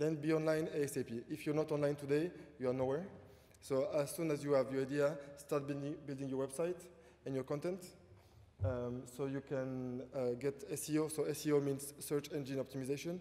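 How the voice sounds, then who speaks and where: The man has a strong French accent and a dark, mellow tone at a fairly high pitch. He moves at a fairly quick pace with fairly even intonation. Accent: French, thick. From France. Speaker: entrepreneur. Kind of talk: panel talk.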